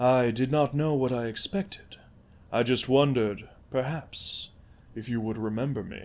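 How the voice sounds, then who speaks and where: A man at a medium pitch puts on a character voice. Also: moderate pace. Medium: read story. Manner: formal, measured.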